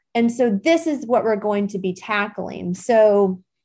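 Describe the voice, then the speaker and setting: Against a quiet background, a woman uses an ordinary speaking voice at a fairly slow pace with ordinary pitch variation. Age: 40s. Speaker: podcast host. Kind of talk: solo self-help talk. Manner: casual with frequent laughs and fillers.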